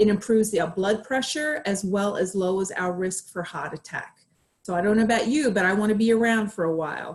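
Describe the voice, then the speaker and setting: This woman's voice is somewhat breathy and medium in pitch. It shows ordinary pitch variation. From Australia. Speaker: clinical psychologist. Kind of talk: presentation.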